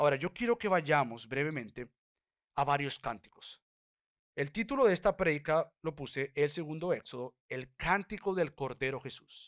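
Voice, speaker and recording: This man has a normal speaking voice, fairly high for a man, with lively intonation at a moderate pace. The recording is very clean with a silent background, and the sound is dry and close with no echo. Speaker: pastor. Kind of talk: sermon. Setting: church.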